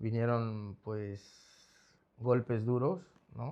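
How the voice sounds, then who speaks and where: In a Mexico City accent, a man speaks at a medium pitch with fairly even intonation against a quiet background. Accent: Mexico City accent, persistent. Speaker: rehab center founder. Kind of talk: interview testimony. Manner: halting.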